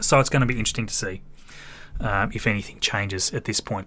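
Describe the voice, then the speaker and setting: Talking at a very fast pace, a man with an Australian accent has a bright, sharp tone and ordinary pitch variation. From Australia, Tasmania. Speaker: space livestream host. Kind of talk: live stream commentary and chat reading.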